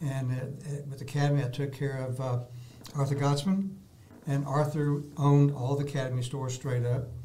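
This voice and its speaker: With audible room echo, a man speaks at a fairly quick pace and fairly high pitch in an American accent, his intonation monotone and flat. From Texas, Dallas. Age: 70s. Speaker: artist, retired salesman. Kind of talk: interview, casual chat. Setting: studio.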